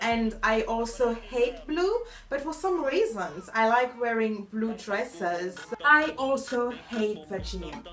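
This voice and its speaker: A woman speaks very slowly with lively intonation at a fairly high pitch, with audible room echo and music in the background. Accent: French. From Mauritius. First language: French. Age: 20s. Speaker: vlogger, master's student. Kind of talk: casual vlog monologue.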